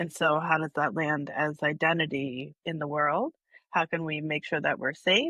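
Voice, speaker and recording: Loud and at a fairly slow pace, a woman with a very deep, low pitch speaks in a dry, close sound with no echo against a quiet background. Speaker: somatic healing practitioner. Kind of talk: casual chat. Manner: animated.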